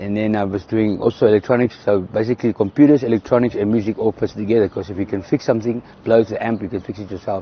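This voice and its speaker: With a South African accent, a man with a fairly low voice speaks very fast over noticeable background noise. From South Africa, south of Johannesburg. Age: 50s. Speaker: entertainer and electronics repairman. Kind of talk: interview. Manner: halting.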